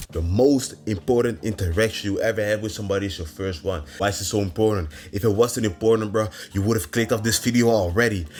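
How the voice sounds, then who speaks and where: Speech with a non-native accent moves at a very fast pace with ordinary pitch variation. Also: man, fairly low pitch for a man. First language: not English. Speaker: self-improvement vlogger. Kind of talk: motivational monologue. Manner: casual, profane slang.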